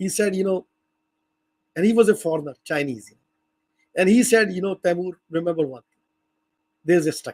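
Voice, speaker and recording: A high-pitched man talks at a fairly quick pace with ordinary pitch variation. Long pauses come often, and the sound is dry and close with no echo. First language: not English. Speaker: language educator. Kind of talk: lecture. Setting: video call. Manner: halting.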